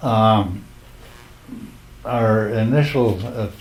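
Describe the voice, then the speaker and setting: Here a man with an American accent talks at a medium pitch with fairly even intonation. There is audible room echo and noticeable background noise. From Minnesota, US Upper Midwest. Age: 80s+. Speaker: war veteran. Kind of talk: oral history interview.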